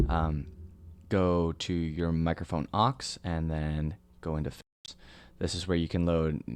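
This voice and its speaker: Over a quiet background, a soft-spoken man with a very deep, low pitch speaks at a fairly slow pace. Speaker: music producer and software tutorial maker. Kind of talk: tutorial. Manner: hesitant, many fillers.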